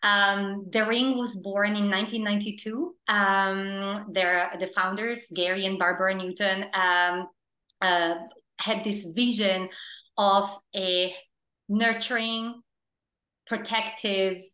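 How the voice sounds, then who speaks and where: A woman's medium-pitched voice with an Italian accent, a bright, sharp tone, monotone, flat intonation, long and frequent pauses, and a very slow pace. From Italy. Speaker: theater producing director. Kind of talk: interview. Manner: hesitant, many fillers.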